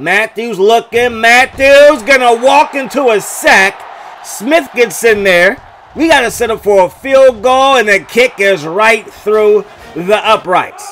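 The speech moves at a very slow pace with ordinary pitch variation. Noticeable background noise sits behind it. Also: man, extremely high pitch for a man. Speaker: gaming video creator. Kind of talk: play-by-play gameplay commentary. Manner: animated.

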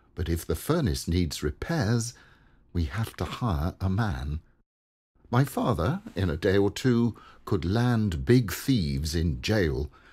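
In a very clean recording with a silent background, a man with a very deep, low pitch and warm tone speaks at a very slow pace, his voice showing vocal fry and very wide pitch swings. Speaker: poem reader. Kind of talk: reading aloud a humorous rhyming poem. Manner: gently humorous, warm, steady rhythm.

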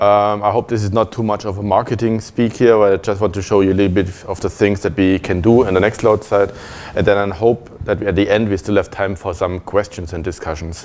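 Here a man talks at a fairly quick pace. His intonation stays fairly even. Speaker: conference speaker. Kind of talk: lecture. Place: meeting room.

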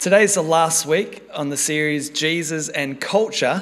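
Speaking at a fairly slow pace, a man uses ordinary pitch variation. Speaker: preacher. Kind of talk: sermon. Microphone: podium.

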